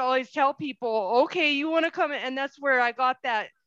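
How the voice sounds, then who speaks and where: Raised and projected, a woman's high-pitched voice with an American accent comes through dry and close with no echo over a quiet background. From US Southwest. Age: 40s. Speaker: podcast host. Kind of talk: casual interview chat.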